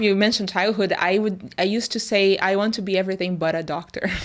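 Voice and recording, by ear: In a very clean recording with a silent background, a woman speaks with a Brazilian accent.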